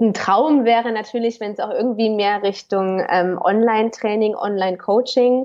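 Here is a normal speaking voice at a moderate pace, with fairly even intonation. There are hardly any pauses. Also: woman, fairly high pitch for a woman. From Cologne, Germany. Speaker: personal trainer. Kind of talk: interview. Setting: remote call.

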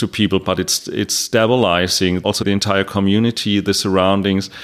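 A man speaks with a German accent at a fairly low pitch and moderate pace. The recording is very clean, with a silent background. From Germany. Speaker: mezcal importer. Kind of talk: interview.

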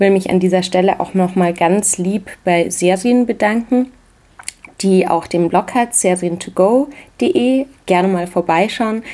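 Noticeable background noise sits behind a woman speaking at a fairly slow pace. Her loudness stays very even. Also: medium pitch for a woman, ordinary pitch variation. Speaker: podcast host, cookbook author. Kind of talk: podcast intro monologue.

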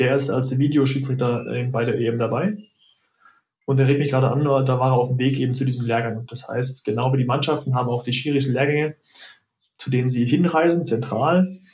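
The voice is somewhat breathy and moves at a fairly quick pace. Its intonation stays fairly even. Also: man, medium pitch for a man. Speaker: football referee and doctor. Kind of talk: casual chat. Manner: halting.

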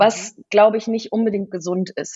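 A woman speaks with monotone, flat intonation. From Kenya. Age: 40s. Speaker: design agency owner. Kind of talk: interview. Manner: hesitant, many fillers.

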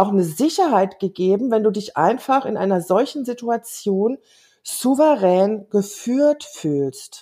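A woman's medium-pitched voice, very slow in pace, with ordinary pitch variation. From Germany. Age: 50s. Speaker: life coach. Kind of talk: casual interview.

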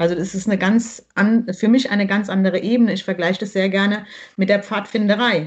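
Somewhat breathy and medium in pitch, a woman speaks at a fairly quick pace with fairly even intonation. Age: 40s. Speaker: primary school teacher. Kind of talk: casual interview.

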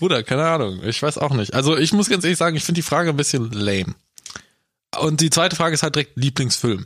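A man with a fairly high pitch talks at a very fast pace. His intonation is lively. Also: very even loudness. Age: 20s. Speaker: podcast co-host. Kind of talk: casual chat.

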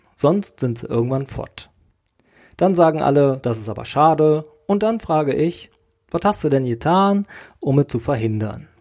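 Lively in intonation yet broken by long, frequent pauses, a man speaks at a moderate pace and a fairly high pitch. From Sauerland, Westphalia, Germany. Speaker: podcast host. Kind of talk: solo podcast monologue. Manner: casual, conversational.

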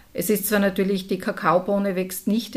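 A woman's somewhat breathy voice sits at medium pitch and keeps fairly even intonation. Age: 50s. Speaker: entrepreneur. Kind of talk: interview.

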